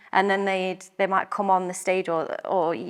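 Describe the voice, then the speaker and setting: Speaking with an English accent, a woman comes through on a very clean recording where the background is silent. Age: 30s. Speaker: primary school and dance teacher. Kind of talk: interview recollection.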